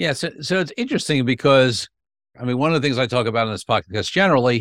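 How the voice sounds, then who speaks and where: Speaking very fast with a New York accent, a man at medium pitch is heard in a very clean recording with a silent background and a dry, close sound with no echo. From Brooklyn, New York. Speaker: podcast host, attorney and negotiator. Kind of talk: interview conversation.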